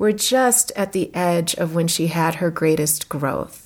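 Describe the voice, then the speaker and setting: A woman with an unremarkable speaking voice, fairly low in pitch, at a fairly slow pace. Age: 40s. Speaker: scholar and digital storytelling facilitator. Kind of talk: interview conversation.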